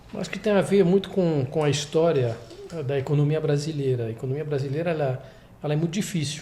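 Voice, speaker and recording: A man talks at a very fast pace in a fairly high pitch with ordinary pitch variation. Noticeable background noise and audible room echo surround him. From France. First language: French (speaking Portuguese). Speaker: investment executive. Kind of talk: interview. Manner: halting.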